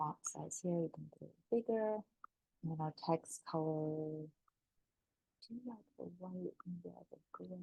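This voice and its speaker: Music plays in the background as a woman with fairly low pitch speaks at a fairly slow pace. Her pitch varies in an ordinary way, and the sound is dry and close with no echo. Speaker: affiliate marketer. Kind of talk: tutorial.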